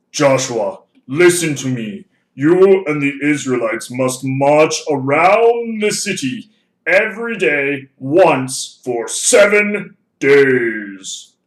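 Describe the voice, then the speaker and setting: A man puts on a character voice, pitched fairly high. He speaks at a very slow pace. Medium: read story. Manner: solemn, commanding.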